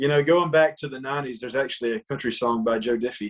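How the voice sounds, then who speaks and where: At a very fast pace, a man talks with a Southern accent. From US South, rural Georgia. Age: 20s. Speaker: country singer. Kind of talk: casual chat.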